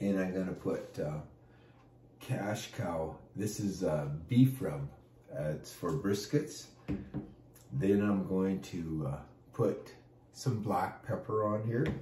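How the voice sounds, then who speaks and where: Very slow, with long, frequent pauses and lively intonation, a man speaks at a fairly low pitch in a dark, mellow, somewhat breathy tone amid audible room echo. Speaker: pastor and barbecue cook. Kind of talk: casual cooking tutorial. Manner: casual with many fillers.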